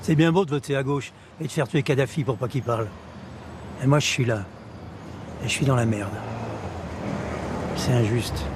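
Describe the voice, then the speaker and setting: A man speaks at a fairly quick pace but with long, frequent pauses. His medium pitch shows ordinary variation over noticeable background noise. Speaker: actor. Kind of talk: acting reel scenes.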